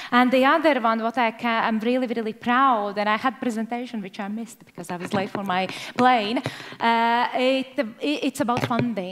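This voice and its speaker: A woman's voice at a fairly high pitch and a moderate pace, with ordinary pitch variation and noticeable background noise. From Latvia. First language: Latvian. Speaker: government trade representative. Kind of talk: panel discussion.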